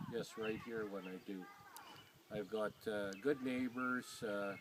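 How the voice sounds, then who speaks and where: Against noticeable background noise, a man with a Canadian Prairie accent speaks at a medium pitch. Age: 60s. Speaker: farmer. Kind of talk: interview.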